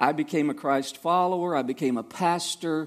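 A man with a Southern US accent and ordinary pitch variation, on a very clean recording with a silent background. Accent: Southern US (Georgia). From US South, Savannah, Georgia. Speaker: missionary. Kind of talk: testimony. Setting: church. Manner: halting.

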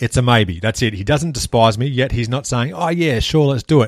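Recorded very cleanly against a silent background, with a dry, close sound and no echo, a man speaks at a fairly quick pace with ordinary pitch variation. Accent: Australian. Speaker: podcast host, guest on another show. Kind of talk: scripted outro promo; casual interview chat.

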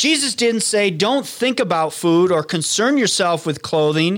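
The man speaks with lively intonation. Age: 50s. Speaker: pastor and podcast host. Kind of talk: sermon-style Bible teaching. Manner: animated.

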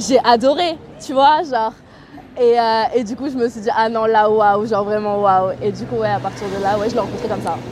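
Over noticeable background noise, a woman talks at a moderate pace with a fairly high pitch and ordinary pitch variation. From southern France, Toulon. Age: 20s. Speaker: interviewee. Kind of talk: personal storytelling interview. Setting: outdoors by a canal. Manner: spontaneous, hesitant with fillers.

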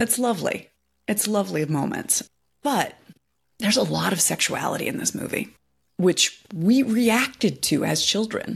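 A woman's medium-pitched voice with vocal fry and lively intonation at a moderate pace. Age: 40s. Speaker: podcast host. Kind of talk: casual chat.

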